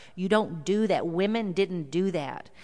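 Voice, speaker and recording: This woman has a fairly low pitch and a slight Texan accent. Her pitch varies in an ordinary way. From South Texas. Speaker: visiting preacher. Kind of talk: sermon. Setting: church.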